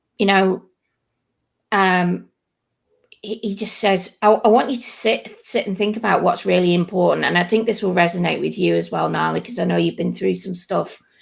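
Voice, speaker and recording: A woman with a northern English accent talks at a moderate pace. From northern England. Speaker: podcast host. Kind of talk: casual chat.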